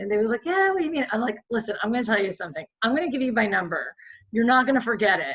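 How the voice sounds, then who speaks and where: A somewhat breathy woman with a fairly high pitch talks at a very fast pace. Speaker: podcast guest. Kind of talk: casual chat.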